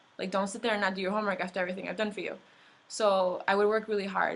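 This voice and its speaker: This woman's voice stays at a medium pitch with monotone, flat intonation. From US, raised from infancy; born in Mexico. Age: 20s. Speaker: immigrant activist. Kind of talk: personal testimony. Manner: casual, many fillers like um and like.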